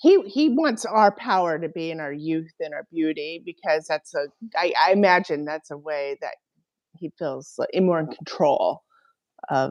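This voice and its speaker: Recorded with a dry, close sound with no echo, a woman with a plain, everyday voice speaks at a moderate pace with ordinary pitch variation and big swings in loudness. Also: fairly low pitch for a woman. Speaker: podcast co-host. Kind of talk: casual chat.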